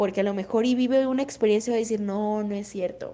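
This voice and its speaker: This woman talks at a very fast pace in a dark, mellow tone. Her pitch varies in an ordinary way. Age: 20s. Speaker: psychologist. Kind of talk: educational talk. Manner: hesitant, many fillers.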